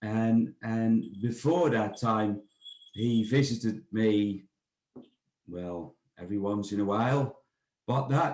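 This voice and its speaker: Speaking with a Dutch accent, a man goes at a very slow pace with long, frequent pauses. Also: medium pitch for a man, ordinary pitch variation. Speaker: bird of prey centre director. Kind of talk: interview. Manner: halting, many fillers and repetitions.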